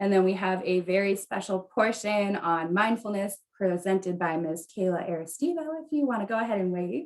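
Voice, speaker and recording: A woman with an American accent and an ordinary speaking voice, medium pitch, lively intonation, a moderate pace and hardly any pauses. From US Midwest, Wisconsin. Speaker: event coordinator and host. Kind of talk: virtual event hosting.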